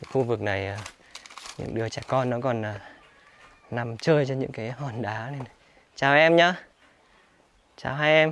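Talking at a fairly slow pace, a man leaves long, frequent pauses, with ordinary pitch variation, big swings in loudness, and a dry sound with no echo. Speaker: travel vlogger. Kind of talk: travel vlog narration with street chat. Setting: outdoors in a mountain village. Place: open country. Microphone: phone near.

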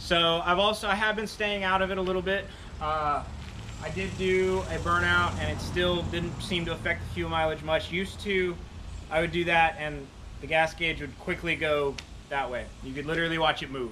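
Over light background noise, the voice moves at a moderate pace with fairly even intonation. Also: man, high pitch for a man. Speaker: car owner vlogger. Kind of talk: casual vlog chat. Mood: relaxed, pleased. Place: street. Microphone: camera far.

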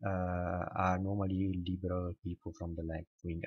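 Over a silent background in a very clean recording, a man with a very deep, low pitch and a somewhat breathy voice speaks at a moderate pace in a dry, close sound with no echo. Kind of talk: casual talk to camera. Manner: hesitant, many fillers.

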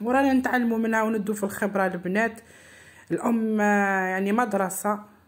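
A woman speaks at a moderate pace, somewhat breathy. Her loudness is very even and her intonation fairly even. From eastern Algeria. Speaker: home cooking vlogger. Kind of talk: vlog narration.

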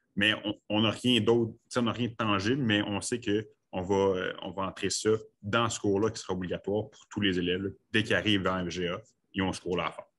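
A man with a normal speaking voice, fairly low in pitch, fairly quick in pace, with fairly even intonation. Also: big swings in loudness. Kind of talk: online meeting discussion.

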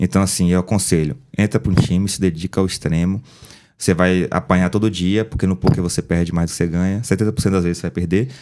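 Against a quiet background, a man with a very deep, low pitch and a dark, mellow tone rattles along at a very fast pace, his intonation fairly even. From Bahia, Brazil (Feira de Santana); Bahia, Brazil. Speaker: poker player and former footballer; podcast guest. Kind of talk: casual chat. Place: studio. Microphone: studio mic.

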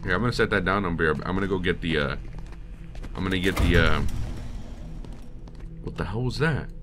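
Music plays in the background as a man talks very fast. His intonation is lively. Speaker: voice actor. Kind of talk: casual gaming commentary. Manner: casual, excitable.

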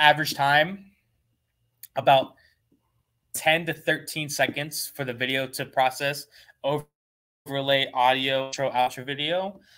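A man speaks with a bright, sharp tone at a fairly high pitch. Behind him, the background stays quiet. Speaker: webinar host demonstrating photo booth products. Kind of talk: live product webinar. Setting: live stream from company showroom. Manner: fast talker; animated. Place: studio.

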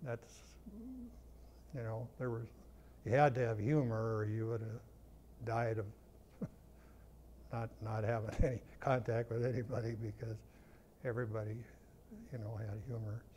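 A somewhat breathy man with a medium-pitched, dark, mellow tone speaks at a fairly slow pace in a monotone, flat intonation, with long, frequent pauses and light background noise. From North Dakota. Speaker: war veteran. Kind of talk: interview answer. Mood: reflective, sober war memories. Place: studio.

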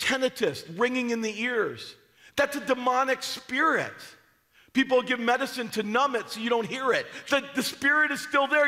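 A raised, projected voice with a bright, sharp tone at a moderate pace over a quiet background. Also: man. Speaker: preacher. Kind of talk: sermon. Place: church.

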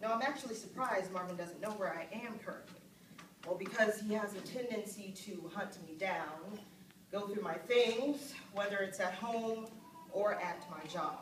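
Ordinary pitch variation comes through with audible room echo and noticeable background noise. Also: woman, moderate pace. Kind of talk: dramatic monologue to an audience. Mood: earnest, serious. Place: stage. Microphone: camera far.

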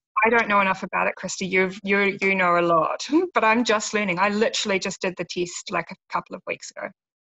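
A woman's medium-pitched, monotone, flat delivery at a very fast pace with hardly any pauses. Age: 40s. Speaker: lifestyle blogger. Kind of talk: casual interview. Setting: video call. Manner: gentle.

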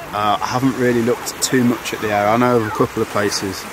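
Noticeable background noise and a dry sound without echo around a man talking fairly quickly. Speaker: travel vlogger. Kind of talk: casual vlog chat. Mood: relaxed, slightly worried. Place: beach.

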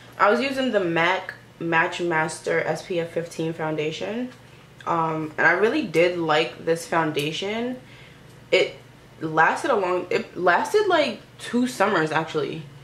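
Amid audible room echo, a woman with a fairly low voice speaks at a fairly slow pace. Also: ordinary pitch variation. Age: 20s. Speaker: YouTuber, recent college graduate. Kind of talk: casual vlog chat while doing makeup. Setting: at home in front of a camera and mirror. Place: home room. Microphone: phone near.

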